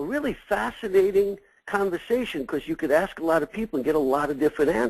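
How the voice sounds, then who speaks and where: A man talks at a very fast pace in a New York accent. His pitch is high. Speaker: succession consultant for accounting firms. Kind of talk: webinar presentation. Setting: webinar.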